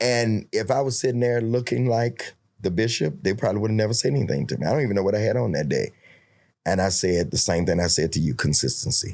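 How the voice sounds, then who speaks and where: A man's very fast, fairly low-pitched speech with vocal fry, lively intonation and very even loudness, on a very clean recording against a silent background. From New York. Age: 60s. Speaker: bishop and preacher. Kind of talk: casual interview.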